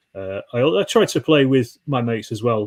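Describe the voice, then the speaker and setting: A man speaks with a Yorkshire accent in a somewhat breathy voice. The recording is very clean, with a silent background. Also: dry, close sound with no echo. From Yorkshire, northern England. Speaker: wargaming YouTuber. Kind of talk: casual chat. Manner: halting, many fillers.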